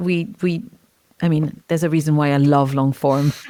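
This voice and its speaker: Fairly slow speech from a woman with a non-native accent. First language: not English. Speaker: podcast interviewer. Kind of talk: interview conversation.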